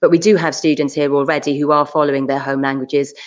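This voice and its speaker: A woman with a Welsh accent speaks at a very fast pace. Her pitch is very deep and low, and her intonation is fairly even. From South Wales. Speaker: school assistant principal. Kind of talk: school options evening Q&A. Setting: live online session.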